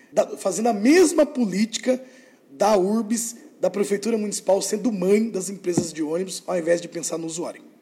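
Noticeable background noise accompanies a man speaking at a moderate pace. His pitch is high, with ordinary pitch variation. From Brazil, Sorocaba, São Paulo state. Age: 30s. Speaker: mayoral candidate and teacher. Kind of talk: political interview.

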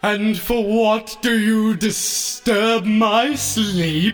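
A put-on character voice comes at a fairly high pitch and a very slow pace. Music plays clearly in the background. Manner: imposing, annoyed at being woken.

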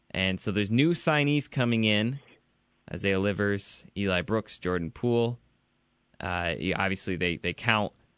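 With a Midwestern American accent, a man speaks in a fairly low pitch and lively intonation. His pace is moderate, broken by long, frequent pauses. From Michigan (Ann Arbor). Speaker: podcast host, sports writer. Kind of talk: casual chat; interview.

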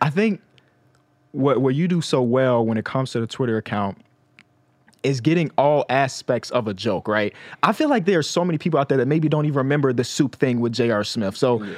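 In a normal speaking voice, a man with an American accent talks at a fairly quick pace. His medium pitch carries lively intonation. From Chicago. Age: 20s. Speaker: podcast host. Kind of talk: casual interview.

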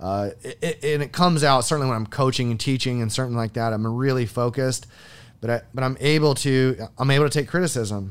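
A man speaks in a normal speaking voice with an American accent, medium pitch and fairly even intonation. His pace is fairly quick, and the recording is very clean with a silent background. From US Midwest (Iowa). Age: 40s. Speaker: military veteran and trainer. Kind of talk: casual interview. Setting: studio.

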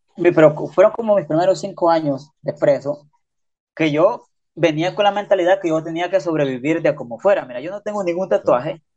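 The man talks at a fairly quick pace. His pitch is high for a man. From Honduras. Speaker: prisoner and social media creator. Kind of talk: casual chat. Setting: video call. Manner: slangy, informal.

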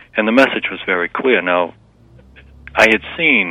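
Noticeable background noise accompanies a man with a very deep, low voice, ordinary pitch variation and a moderate pace. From Massachusetts. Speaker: memoir author. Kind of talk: interview.

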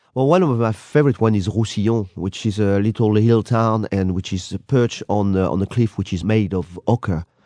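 Recorded dry and close with no echo against a quiet background, a man speaks with a French accent. His fairly low voice moves at a moderate pace with ordinary pitch variation. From France. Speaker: tour guide. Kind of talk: radio interview.

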